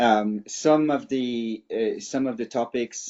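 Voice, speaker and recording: A man with a French accent speaks at medium pitch with fairly even intonation. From France. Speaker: cybersecurity expert. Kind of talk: webinar presentation.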